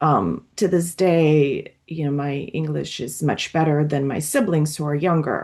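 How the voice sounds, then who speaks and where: A woman with a Russian accent speaks fairly slowly in a very deep, low pitch, her intonation fairly even. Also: hardly any pauses. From Latvia, emigrated to US at age 11. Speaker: psychoanalyst. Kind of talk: group discussion. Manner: hesitant, many fillers and restarts.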